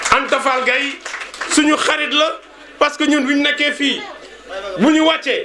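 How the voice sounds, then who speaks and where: The voice is raised and projected, with very wide pitch swings, amid audible room echo and noticeable background noise. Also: man. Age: 60s. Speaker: schoolteacher. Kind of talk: speech at a reunion.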